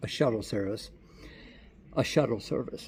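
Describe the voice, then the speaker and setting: A man is speaking. His voice is somewhat breathy. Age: 60s. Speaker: travel vlogger. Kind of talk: casual video diary. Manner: halting, repeats words.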